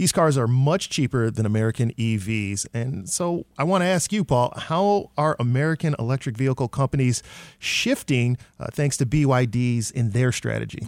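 A man speaks in a normal speaking voice at medium pitch, his intonation lively. The recording is very clean with a silent background. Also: moderate pace. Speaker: radio host. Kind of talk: radio news magazine hosting. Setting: studio.

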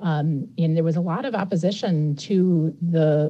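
A woman speaks with a fairly low pitch and a dark, mellow tone. Her voice is somewhat breathy, with ordinary pitch variation. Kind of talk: radio interview.

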